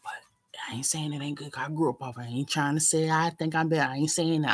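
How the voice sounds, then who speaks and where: On a very clean recording with a silent background, a woman talks in a relaxed tone. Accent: American. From New York, raised largely in US South. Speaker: live streamer. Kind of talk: casual chat. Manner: rambling, relaxed.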